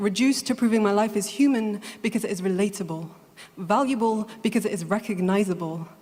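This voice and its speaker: A woman at a fairly quick pace and medium pitch, ordinary pitch variation, over noticeable background noise. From England. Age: 20s. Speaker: slam poet. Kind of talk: poetry slam performance.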